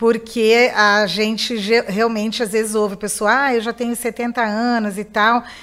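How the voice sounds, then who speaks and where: An unremarkable speaking voice comes from a woman with a fairly high pitch. She talks at a moderate pace on a very clean recording with a silent background. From Mato Grosso do Sul, Brazil (Campo Grande). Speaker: lawyer and political candidate. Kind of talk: radio interview.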